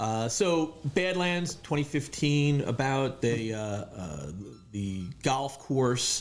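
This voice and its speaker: Speaking with a New York accent, a man uses a medium pitch and lively intonation. His pace is very slow. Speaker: real estate agent. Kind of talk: interview. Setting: studio.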